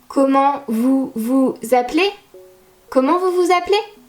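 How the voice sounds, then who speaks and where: With a French accent, a woman speaks in a high pitch with lively intonation. Her pace is moderate, and music plays in the background. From France. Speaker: French teacher. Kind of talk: language lesson to camera.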